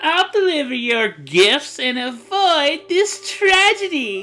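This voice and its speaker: Faint music plays behind a female-sounding, put-on character voice that is high-pitched and moves at a fairly slow pace. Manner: cheerful, bold, playful.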